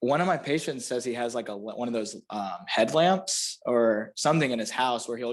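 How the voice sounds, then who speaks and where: A man speaks with a Florida panhandle accent. He talks at a fairly quick pace with ordinary pitch variation. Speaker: chiropractor. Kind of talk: casual chat.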